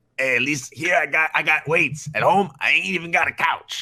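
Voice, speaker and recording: A man puts on a raspy character voice. His pitch sits fairly high, and he talks at a moderate pace. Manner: gruff.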